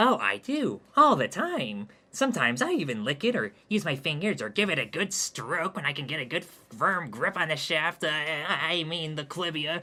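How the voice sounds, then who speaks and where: Over background music, a man in a put-on character voice speaks at a moderate pace with hardly any pauses, his fairly high pitch making very wide swings. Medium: read story. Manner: prissy, defensive.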